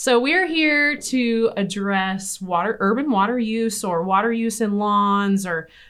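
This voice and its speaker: A woman speaks with a Midwestern US accent and lively intonation. The background is quiet. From Nebraska. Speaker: podcast host, extension educator. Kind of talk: casual interview discussion. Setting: studio, office.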